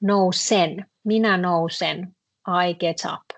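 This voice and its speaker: With a Finnish accent, a woman speaks in a fairly low voice with ordinary pitch variation, in a dry, close sound with no echo and a quiet background. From northern Finland. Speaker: Finnish language teacher. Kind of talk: online language lesson.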